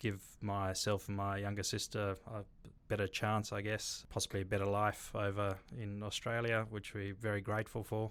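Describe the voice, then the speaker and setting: On a very clean recording with a silent background, a man speaks at a fairly low pitch in monotone, flat intonation. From South Africa. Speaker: bar and restaurant developer. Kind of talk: interview.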